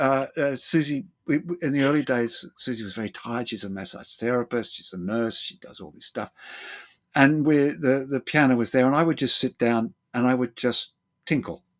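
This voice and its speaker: Over a silent background in a very clean recording, a man with an Australian accent speaks at a moderate pace and fairly high pitch, using lively intonation, big swings in loudness and long, frequent pauses. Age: 70s. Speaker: therapist and former actor. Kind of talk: interview. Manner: halting.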